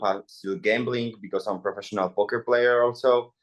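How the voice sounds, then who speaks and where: A man speaks with a Polish accent. His pitch is medium. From Poland. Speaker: MMA fighter and influencer boxer. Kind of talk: press interview.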